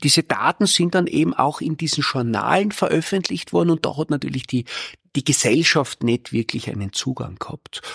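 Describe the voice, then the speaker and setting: Using very wide pitch swings and vocal fry, a man speaks at a moderate pace with a dry, close sound and no echo. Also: fairly high pitch for a man. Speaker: microbiologist and science communication professor. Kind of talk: casual interview chat.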